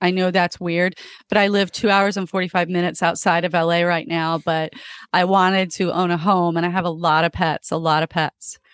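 A woman talks at a fairly quick pace with an American accent and monotone, flat intonation. Her loudness stays very even, the sound is dry and close with no echo, and the background is quiet. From Florida. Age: 50s. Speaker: comedian. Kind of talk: casual chat.

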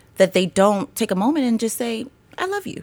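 Someone with an American accent speaks with very wide pitch swings. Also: woman. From US, Baltimore, Maryland. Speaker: writer and speaker on women's empowerment. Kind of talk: interview conversation.

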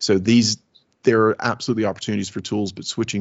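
With a slight Southern US accent, a man speaks at a very fast pace in a monotone, flat intonation. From US South, Alabama. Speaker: technology executive. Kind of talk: interview conversation.

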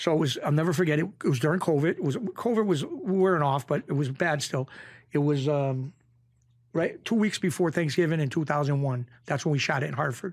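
The voice is somewhat breathy, at a fairly quick pace with ordinary pitch variation. It's a very clean recording with a silent background. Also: man, fairly high pitch for a man. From Western Massachusetts (Springfield). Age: 50s. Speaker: former mob bookmaker. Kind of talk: casual interview storytelling.

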